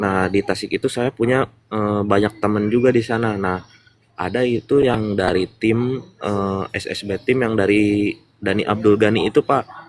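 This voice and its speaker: A man speaks at a moderate pace with a West Javanese accent, his pitch fairly low. The sound is dry and close with no echo, and his intonation stays fairly even. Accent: noticeable regional (Sundanese). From West Java, Purwakarta. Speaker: business member sharing testimony. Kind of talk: interview testimony. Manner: hesitant, many fillers.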